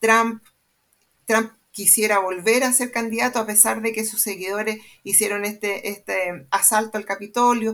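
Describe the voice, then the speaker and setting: In a very clean recording with a silent background, a woman has an ordinary speaking voice with a fairly high pitch. She goes at a fairly slow pace with fairly even intonation. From Chile, Santiago. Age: 50s. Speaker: sociologist and research center director. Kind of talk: panel discussion.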